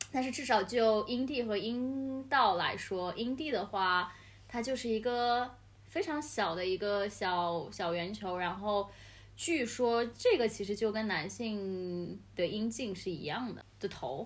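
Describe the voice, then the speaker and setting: A woman's fairly high-pitched voice, lively in intonation, at a very slow pace. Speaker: podcast host, guest this episode. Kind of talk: casual chat. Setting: home apartment studio, face to face.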